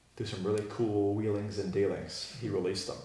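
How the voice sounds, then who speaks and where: Audible room echo surrounds a man talking at a fairly quick pace in a somewhat breathy voice. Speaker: Bible teacher. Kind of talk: teaching a class with discussion. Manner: fast.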